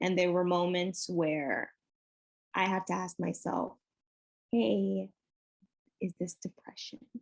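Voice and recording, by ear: Put on as a character voice, the raspy speech comes at a fairly slow pace with long, frequent pauses, in a dry, close sound with no echo. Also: woman, fairly low pitch for a woman.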